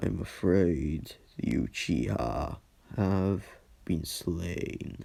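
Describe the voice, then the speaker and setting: In a put-on character voice, a man speaks very slowly at a very deep, low pitch with lively intonation. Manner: solemn.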